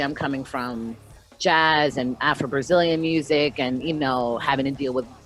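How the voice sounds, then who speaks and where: A woman with a very deep, low pitch speaks at a fairly quick pace with ordinary pitch variation, against noticeable background noise. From US mid-Atlantic (DC area), born in Brazil. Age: 30s. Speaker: punk singer and bassist. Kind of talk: interview. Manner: loud; animated.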